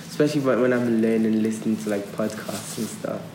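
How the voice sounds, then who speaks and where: Noticeable background noise runs under the voice. The room echo is audible. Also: man. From Nigeria and London. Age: 20s. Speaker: podcast co-host. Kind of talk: casual chat.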